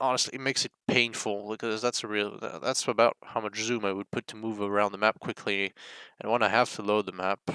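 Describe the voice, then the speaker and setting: Bright and sharp in tone, a man with a fairly low pitch speaks fairly quickly in a flat monotone, recorded very cleanly against a silent background. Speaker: flight simulator player. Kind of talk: casual screen-recorded bug report.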